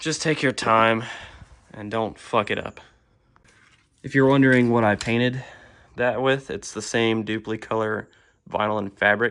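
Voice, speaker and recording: Fairly slow, medium-pitched speech from a man. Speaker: car DIY hobbyist. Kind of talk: tutorial. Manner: casual, hesitant with fillers.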